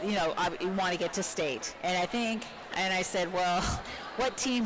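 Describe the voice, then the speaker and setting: Over noticeable background noise, a woman talks at a medium pitch. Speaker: teacher and volleyball commentator. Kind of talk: live sports commentary. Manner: projecting teacher voice.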